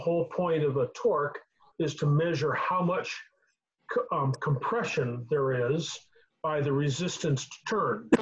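A man talks with ordinary pitch variation. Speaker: host of car tech call. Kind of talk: lecture. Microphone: video call.

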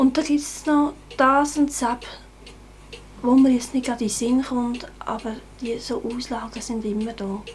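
Over light background noise, a woman talks at a fairly slow pace. Her pitch is high, with ordinary pitch variation. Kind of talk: interview answer. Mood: calm, modest, hesitant. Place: home room.

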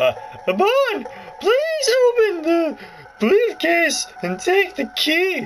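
A man's squeaky, put-on character voice at an extremely high pitch and a very slow pace, with clear music and clear noise in the background. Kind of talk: formal, instructive.

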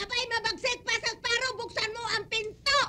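A woman's put-on character voice, extremely high and bright and sharp, at a fairly quick pace with fairly even intonation.

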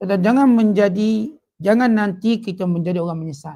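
A man speaks at a high pitch with ordinary pitch variation on a very clean recording with a silent background. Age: 40s. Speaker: religious teacher. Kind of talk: religious lecture. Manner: casual, conversational.

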